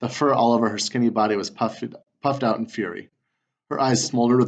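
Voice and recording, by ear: Someone is reading aloud in a natural voice with a quiet background.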